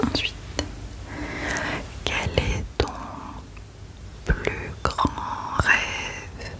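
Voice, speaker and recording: A gentle-toned whisper over noticeable background noise. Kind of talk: ASMR roleplay, personal questions. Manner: soft-spoken, gentle.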